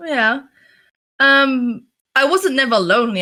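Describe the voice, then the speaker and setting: A woman with a London accent talks in a bright, sharp tone on a very clean recording with a silent background. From London, England. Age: 20s. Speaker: streamer and circus performer. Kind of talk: interview. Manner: halting.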